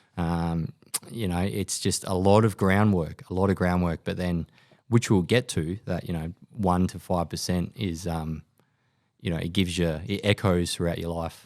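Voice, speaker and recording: In a very clean recording with a silent background, a man with an Australian accent speaks in a very deep, low voice with fairly even intonation. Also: moderate pace. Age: 30s. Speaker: podcast host and army veteran. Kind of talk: interview. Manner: halting, many fillers.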